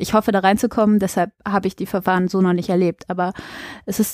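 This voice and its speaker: A woman speaks in a normal speaking voice at a medium pitch with ordinary pitch variation, recorded dry and close with no echo on a very clean track against a silent background. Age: 20s. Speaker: local council candidate and student. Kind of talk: interview.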